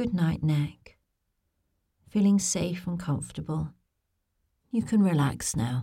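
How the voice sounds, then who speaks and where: A woman speaks very slowly with a fairly low pitch and long, frequent pauses. Her tone is dark, mellow, soothing and gentle, and somewhat breathy. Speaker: bedtime story narrator. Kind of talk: guided visualisation bedtime story. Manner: slow, soothing, gentle; soft-spoken, lulling, repetitive.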